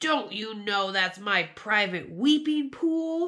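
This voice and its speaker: In a put-on character voice, a woman speaks at a very slow pace and a medium pitch. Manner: angry.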